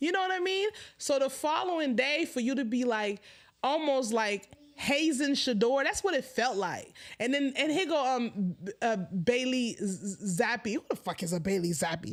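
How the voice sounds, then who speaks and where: The tone is animated and excited, with very wide pitch swings. Delivery moves at a moderate pace. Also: woman, high pitch for a woman. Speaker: sports commentary livestreamer. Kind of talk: casual livestream chat. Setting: livestream at home. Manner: animated, excited.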